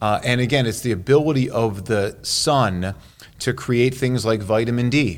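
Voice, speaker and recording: An ordinary speaking voice, a man with an American accent speaks at a moderate pace and medium pitch, with ordinary pitch variation and very even loudness. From Chicago, US Midwest. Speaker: cardiologist. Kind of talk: interview. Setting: on location at a workshop.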